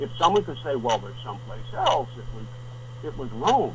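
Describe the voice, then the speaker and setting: A man speaks at medium pitch. Audible room echo and noticeable background noise surround his voice. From northeastern US. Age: 70s. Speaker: author and wilderness survivalist. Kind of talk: radio interview. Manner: blunt; halting.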